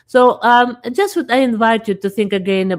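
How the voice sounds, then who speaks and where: A woman with a fairly high pitch speaks at a moderate pace with lively intonation on a very clean recording with a silent background. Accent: non-native. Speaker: talk show host. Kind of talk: casual chat. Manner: halting.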